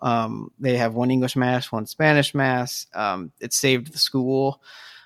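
This man's voice sits at a medium pitch, with fairly even intonation and a dry, close sound free of any echo. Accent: Midwestern US. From South Bend, Indiana. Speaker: writer of an article series. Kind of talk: casual chat. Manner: halting.

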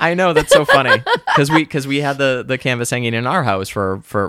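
The speaker has an American accent and talks at a moderate pace with ordinary pitch variation. Noticeable background noise runs underneath. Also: man, fairly high pitch for a man. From Boston. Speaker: podcast co-host. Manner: casual, conversational.

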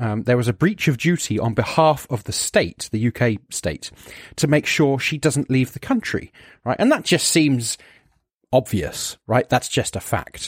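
On a very clean recording with a silent background and a dry, close sound with no echo, a man speaks fairly slowly at medium pitch, somewhat breathy, with lively intonation. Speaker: podcast co-host.

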